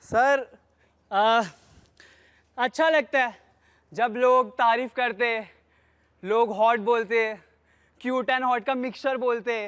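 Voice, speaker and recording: A man with an extremely high pitch, fairly even intonation, very even loudness and long, frequent pauses, on a very clean recording with a silent background. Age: 20s. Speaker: reality show contestant. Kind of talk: audition interview.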